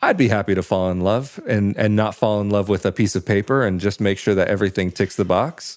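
A man with an American accent speaks at a fairly quick pace in an unremarkable speaking voice, with hardly any pauses. His fairly low voice has very even loudness and fairly even intonation. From United States. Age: 20s. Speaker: podcaster. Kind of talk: interview.

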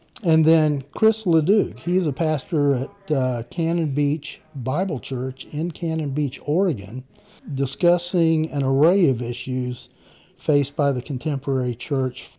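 A man's fairly high voice with a Southern US accent, fairly slow pace and ordinary pitch variation, over background music. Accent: Southern US (Georgia). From US South, Macon, Georgia. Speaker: guest podcast host. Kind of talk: casual interview chat.

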